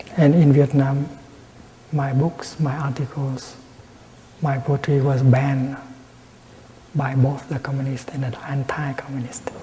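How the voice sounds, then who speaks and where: A soft-spoken man's fairly high voice, fairly slow and monotone, flat in intonation, with long, frequent pauses and noticeable background noise. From Vietnam. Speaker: Buddhist monk and peace activist. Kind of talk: Dharma talk, meditation teaching. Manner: soft-spoken, slow.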